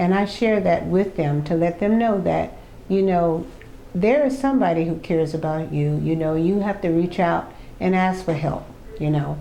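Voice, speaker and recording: Talking at a moderate pace with an American accent, a woman shows ordinary pitch variation, and room echo can be heard. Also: fairly low pitch for a woman, very even loudness. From Miami, South Florida. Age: 70s. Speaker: senior track athlete. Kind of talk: interview. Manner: animated, frequent fillers.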